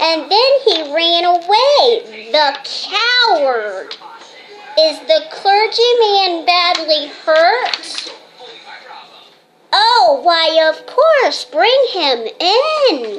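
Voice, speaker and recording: A woman's put-on character voice, extremely high in pitch, very slow in pace, with very wide pitch swings. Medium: stage play.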